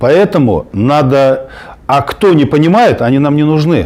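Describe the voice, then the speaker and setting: There is noticeable background noise as a man with a fairly high-pitched voice talks with lively intonation. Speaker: political activist. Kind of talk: heated debate. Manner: halting, many fillers.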